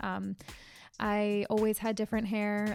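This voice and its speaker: Music plays in the background as a woman with an American accent speaks at a medium pitch. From US Northeast, Connecticut. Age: 20s. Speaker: podcast host, life coach and hairdresser. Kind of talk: casual solo podcast monologue. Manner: casual, with many fillers.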